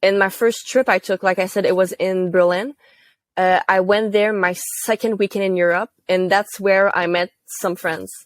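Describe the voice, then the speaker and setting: The sound is dry and close with no echo, as a woman speaks in a Quebec accent at a medium pitch. Her pace is moderate and her intonation monotone and flat. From Quebec, Gatineau. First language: French. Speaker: university student intern. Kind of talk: interview. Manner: casual, with fillers.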